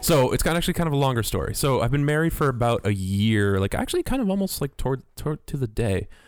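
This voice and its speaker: Music plays in the background of very fast speech with hardly any pauses. Loudness stays very even while the intonation is lively. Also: man, medium pitch for a man. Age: 30s. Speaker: software developer and musician. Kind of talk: casual chat.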